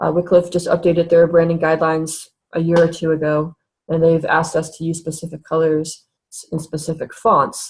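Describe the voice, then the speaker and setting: A woman's fairly low-pitched, somewhat breathy voice at a fairly quick pace. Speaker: webinar presenter. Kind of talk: tutorial. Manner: fast.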